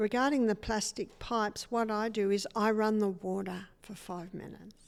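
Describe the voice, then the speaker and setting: A woman with an Australian accent talks with fairly even intonation, captured in a very clean recording against a silent background. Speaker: natural health educator. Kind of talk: interview.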